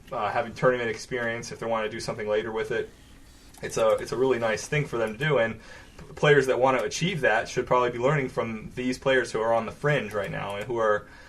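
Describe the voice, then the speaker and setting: A man with an American accent speaks very fast at medium pitch. His intonation is fairly even, and noticeable background noise runs underneath. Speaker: game commentator. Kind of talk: live commentary. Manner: many filler pauses.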